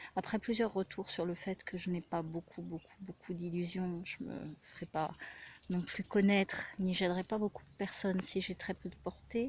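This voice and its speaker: A soft-spoken woman talks at a medium pitch. Her pace is moderate and her intonation fairly even. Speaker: spiritual healer. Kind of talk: casual personal vlog monologue. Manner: hesitant, many fillers.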